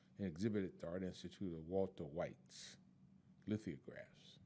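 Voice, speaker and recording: Speaking with an American accent, a man with a dark, mellow tone and fairly low pitch talks at a moderate pace with ordinary pitch variation. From Chicago, US Midwest. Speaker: retired activist and health worker. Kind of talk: oral history interview. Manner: halting, many fillers.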